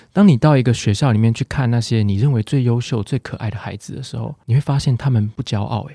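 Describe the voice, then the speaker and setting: A man's very fast, somewhat breathy voice at medium pitch, dark and mellow in tone, with ordinary pitch variation, big swings in loudness, hardly any pauses, and a dry, close sound with no echo. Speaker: psychologist. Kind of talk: casual chat interview. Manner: warm, soothing.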